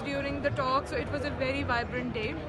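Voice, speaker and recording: Over clear background music, a woman talks at a moderate pace in a dry sound with no echo. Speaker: vlogger. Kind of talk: casual vlog chat. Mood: cheerful, enthusiastic. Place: market. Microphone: phone near.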